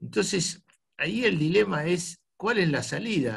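A man speaks at a fairly slow pace in a somewhat breathy voice. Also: quiet background. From Argentina, Buenos Aires. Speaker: club host. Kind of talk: casual chat. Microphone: video call.

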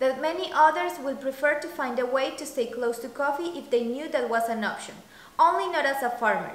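High-pitched and lively, a woman talks at a fairly quick pace. Audible room echo surrounds her voice. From Colombia. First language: Spanish. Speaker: coffee business founder. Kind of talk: scripted narration. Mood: calm, earnest.

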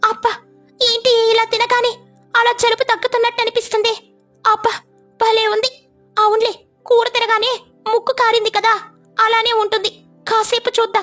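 Over faint music in the background, a woman in a cartoonish character voice speaks at an extremely high pitch and a fairly slow pace, her intonation monotone and flat.

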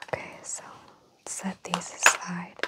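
Loud background noise surrounds a soft-spoken woman talking at a moderate pace. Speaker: makeup roleplay host. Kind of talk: soft-spoken roleplay talk. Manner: soft, hushed ASMR speaking voice. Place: home room. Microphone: lapel.

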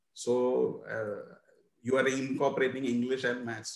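Medium pitch from a male speaker, plus audible room echo. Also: quiet background. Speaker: teacher trainer. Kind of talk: webinar presentation. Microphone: video call.

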